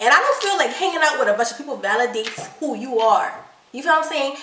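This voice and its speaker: A woman's raised, projected voice comes through at a high pitch with an animated tone and ordinary pitch variation, against noticeable background noise and audible room echo. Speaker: couples channel co-host. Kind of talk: casual chat. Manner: fast.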